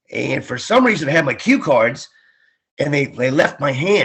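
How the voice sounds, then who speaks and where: A man talks at a fairly quick pace. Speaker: ring announcer; former Marine and radio DJ. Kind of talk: interview answer. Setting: remote call, video/phone interview from Florida.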